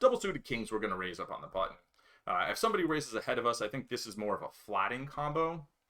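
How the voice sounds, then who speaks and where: A man talks very fast at a medium pitch, his tone bright and sharp with very wide pitch swings. The recording is very clean, with a silent background. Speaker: poker player and streamer. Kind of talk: live stream commentary. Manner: many filler words.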